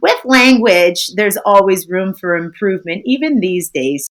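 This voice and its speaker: With an American accent, a woman talks at a fairly slow pace in a sing-song way. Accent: American accent, even when speaking French. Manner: friendly, sing-songy.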